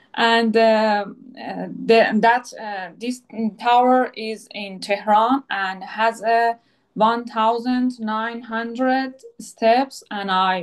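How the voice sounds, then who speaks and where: With a Persian accent, this speaker goes at a very slow pace and keeps the intonation fairly even. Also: woman, big swings in loudness. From Iran. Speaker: psychoanalytic therapist and former athlete. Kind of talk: video interview conversation. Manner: halting, many fillers.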